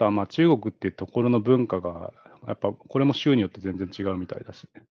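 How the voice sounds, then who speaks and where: The man talks very fast at a fairly low pitch. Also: ordinary pitch variation, big swings in loudness. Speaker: podcast co-host. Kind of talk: casual chat.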